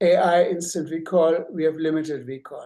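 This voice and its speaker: In a German accent, a man speaks with a high pitch and a dark, mellow tone. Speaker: obstetrician. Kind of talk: lecture. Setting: grand rounds presentation.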